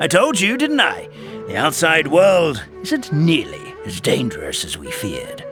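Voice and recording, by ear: Putting on a character voice, a man speaks at a fairly slow pace and fairly high pitch, with very wide pitch swings, a fairly bright tone and faint music in the background.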